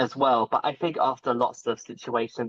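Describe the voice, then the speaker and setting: In an unremarkable speaking voice, a man talks at a medium pitch and a moderate pace. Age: 20s. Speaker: content creator. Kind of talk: interview answer.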